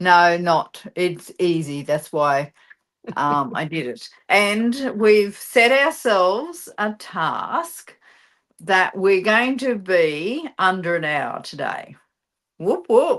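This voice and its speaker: This woman has an Australian accent and a medium pitch. Her pitch swings very widely at a very slow pace. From Queensland, Australia. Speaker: card-making teacher, stream co-host. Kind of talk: live crafting class. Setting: live stream.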